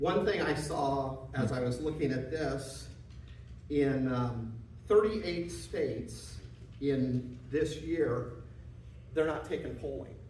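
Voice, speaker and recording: With a Midwestern US accent, the speaker goes at a very slow pace with long, frequent pauses and ordinary pitch variation, amid noticeable background noise and audible room echo. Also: man, medium pitch for a man. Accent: US Midwest. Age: 60s. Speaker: attorney and guest speaker. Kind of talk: presentation to a meeting. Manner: casual, with many fillers.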